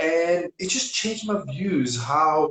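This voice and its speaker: Very wide pitch swings mark this man's speech. He talks with a Serbian accent. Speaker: property investment coach. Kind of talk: interview.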